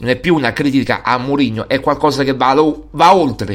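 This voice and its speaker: Animated in tone, a man talks at a fairly quick pace with vocal fry and ordinary pitch variation. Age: 40s. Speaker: sports radio host. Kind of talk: casual monologue.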